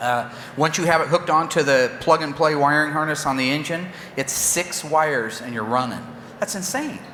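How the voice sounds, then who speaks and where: A man speaks at a moderate pace with a fairly high pitch and ordinary pitch variation. Noticeable background noise and audible room echo fill the recording. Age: 50s. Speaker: car builder. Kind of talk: press conference. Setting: stage with audience. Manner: animated.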